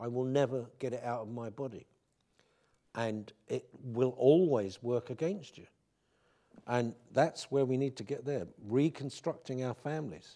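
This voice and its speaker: A dark, mellow tone at a fairly slow pace with long, frequent pauses and ordinary pitch variation. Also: man, medium pitch for a man. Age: 60s. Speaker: public lecturer, magazine founder. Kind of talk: public lecture Q&A.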